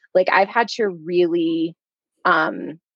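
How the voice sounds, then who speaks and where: A woman uses an ordinary speaking voice at a medium pitch with ordinary pitch variation. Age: 30s. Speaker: life coach and parent. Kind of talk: podcast interview.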